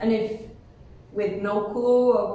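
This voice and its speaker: Amid noticeable background noise and audible room echo, the speaker goes at a very slow pace with fairly even intonation. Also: woman. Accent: Spanish. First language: Spanish. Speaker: university student. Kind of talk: casual chat. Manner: hesitant.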